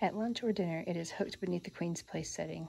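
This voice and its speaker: Soft-spoken and fairly low-pitched for a woman, she speaks at a fairly quick pace with an American accent over light background noise. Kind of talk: casual show-and-tell to camera, reading card text aloud. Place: home room. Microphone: phone near.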